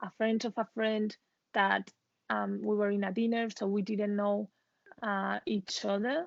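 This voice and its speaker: A woman speaks in a Spanish accent at a medium pitch. The sound is dry and close with no echo, over a quiet background. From Spain. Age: 20s. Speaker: expat professional. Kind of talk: interview.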